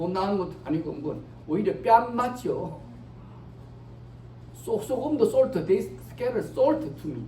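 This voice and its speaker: Long, frequent pauses break up talk delivered at a very slow speed. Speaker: pastor. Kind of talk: sermon. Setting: church. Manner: code-switching between Korean and English.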